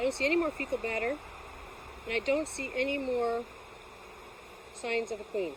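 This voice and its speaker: This woman has a high pitch and ordinary pitch variation. She talks at a fairly quick pace but leaves long, frequent pauses. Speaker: beekeeper. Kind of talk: tutorial. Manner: sometimes slightly slurred speech; casual.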